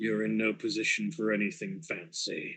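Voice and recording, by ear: A man does a put-on character voice that is guttural, at a medium pitch. He keeps a moderate pace.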